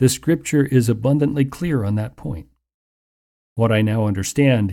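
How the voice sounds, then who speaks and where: On a very clean recording with a silent background, a man uses a normal speaking voice at medium pitch with ordinary pitch variation. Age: 60s. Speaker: radio Bible teacher. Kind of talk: radio sermon.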